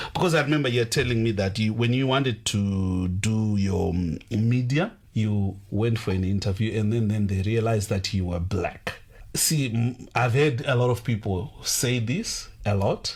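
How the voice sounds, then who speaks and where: A man with an African accent speaks at a moderate pace and a medium pitch, his loudness very even and his pitch varying in an ordinary way. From Zimbabwe. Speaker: radio host. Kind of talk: radio interview.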